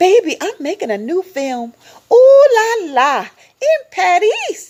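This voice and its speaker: Doing a put-on character voice, a woman speaks in a squeaky, extremely high pitch with very wide pitch swings at a fairly slow pace. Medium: read story. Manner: dramatic, gushing.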